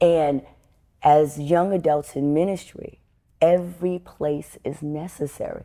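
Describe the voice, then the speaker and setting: With a New York accent, a woman speaks fairly slowly in a very deep, low pitch and a dark, mellow tone, on a very clean recording with a silent background. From New York City, Bronx. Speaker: preacher. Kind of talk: interview. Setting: on location in Richmond, Virginia.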